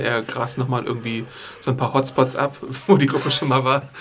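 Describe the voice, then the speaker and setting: Noticeable background noise runs beneath a man's voice. He talks at a medium pitch and a fairly quick pace. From USA. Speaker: podcast host and news writer. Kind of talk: casual chat. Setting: studio.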